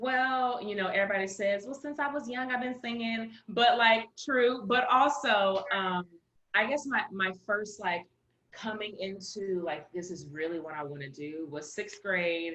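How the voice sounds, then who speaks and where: A woman with an American accent, medium pitch, lively intonation and a fairly slow pace. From Los Angeles area, California. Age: 20s. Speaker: musical theatre actress. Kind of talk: interview. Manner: animated.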